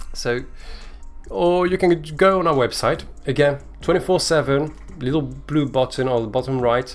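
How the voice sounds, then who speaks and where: With music in the background, a man with a French accent and fairly high pitch speaks with ordinary pitch variation and long, frequent pauses. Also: moderate pace. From France. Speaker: communications manager hosting a crypto giveaway show. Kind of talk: livestream show hosting. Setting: live stream on Twitter space and Twitch.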